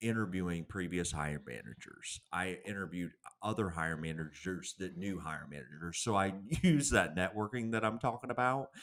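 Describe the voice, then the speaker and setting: A man's very deep, low voice in a Southern US accent, with lively intonation, a fairly quick pace and hardly any pauses. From US South. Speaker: career consultant and author. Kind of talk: podcast interview. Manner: blunt.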